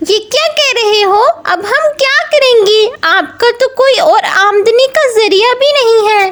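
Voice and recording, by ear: A female-sounding voice takes on a put-on character voice at an extremely high pitch. The pace stays moderate.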